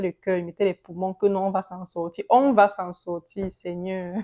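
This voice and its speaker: A woman speaks in a dark, mellow tone, the sound dry and close with no echo against a quiet background. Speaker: vlogger sharing immigration experience. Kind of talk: casual vlog monologue. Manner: halting.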